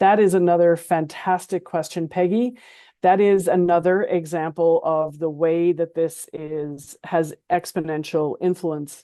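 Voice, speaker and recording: A woman talks at a fairly slow pace in a plain, everyday voice. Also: fairly low pitch for a woman. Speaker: program manager at a large company. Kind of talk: webinar panel discussion. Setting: online webinar.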